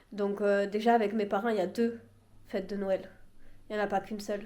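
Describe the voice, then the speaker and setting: In a room with audible echo, a woman talks at a fairly quick pace in a dark, mellow tone with monotone, flat intonation. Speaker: vlogger. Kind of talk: casual vlog to camera.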